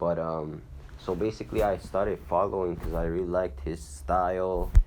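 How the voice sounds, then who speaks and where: In a Hungarian accent, a man with a very deep, low voice and vocal fry speaks at a fairly slow pace. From Hungary. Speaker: rapper. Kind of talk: interview. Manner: casual, halting with repetitions.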